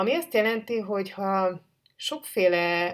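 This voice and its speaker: Over a very clean recording with a silent background, a woman speaks with ordinary pitch variation. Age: 40s. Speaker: writer and podcast host. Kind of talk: personal monologue. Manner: halting.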